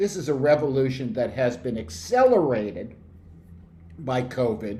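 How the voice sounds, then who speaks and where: A man with a medium-pitched voice speaks fairly slowly, his tone dark and mellow and somewhat breathy. His intonation is lively, and audible room echo surrounds him. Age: 60s. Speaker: researcher presenting survey findings. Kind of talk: presentation. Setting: video call. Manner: animated.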